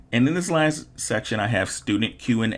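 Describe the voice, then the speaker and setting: Vocal fry runs through a man's voice as he moves at a fairly slow pace with very wide pitch swings. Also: very clean recording, silent background. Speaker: online art instructor. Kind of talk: tutorial.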